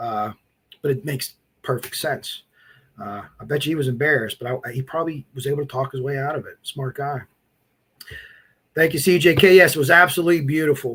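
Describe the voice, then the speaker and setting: A man with an American accent and fairly high pitch, at a fairly quick pace, with ordinary pitch variation, long, frequent pauses and big swings in loudness. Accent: Midwestern-sounding per viewers, Pennsylvania. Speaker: true crime live streamer. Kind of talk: casual live stream chat. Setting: live stream. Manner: casual, halting with fillers.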